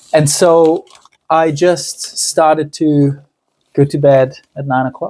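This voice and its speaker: A man with a fairly high pitch speaks at a very slow pace. His tone is dark and mellow, his intonation monotone and flat. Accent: Italian. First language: Italian. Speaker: lifestyle vlogger. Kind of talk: casual vlog monologue. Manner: halting, many fillers.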